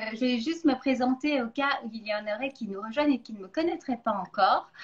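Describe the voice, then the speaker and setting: Speaking at a fairly quick pace in a slight Belgian accent, a woman uses a high pitch with ordinary pitch variation and big swings in loudness. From Belgium. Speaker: nutrition coach, interview host. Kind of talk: interview.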